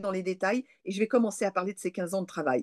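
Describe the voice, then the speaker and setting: The background is quiet. Against it, a woman speaks at a very fast pace. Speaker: parapsychologist and lecturer; lecturer. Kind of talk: interview testimony. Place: home room. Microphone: webcam.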